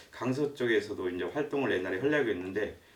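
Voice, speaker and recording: Noticeable background noise and audible room echo around a man talking at a fairly quick pace. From provincial South Korea. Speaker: lecturer, retired civil servant. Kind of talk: lecture. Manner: hesitant, many fillers.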